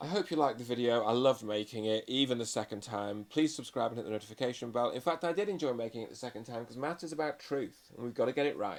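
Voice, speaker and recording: The words come at a very fast pace with hardly any pauses and ordinary pitch variation. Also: man, medium pitch for a man. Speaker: maths teacher. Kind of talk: tutorial.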